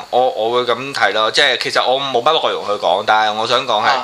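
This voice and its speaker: A man speaks at a fairly quick pace in a medium pitch. His pitch varies in an ordinary way, and there is noticeable background noise. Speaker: photographer. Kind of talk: casual chat.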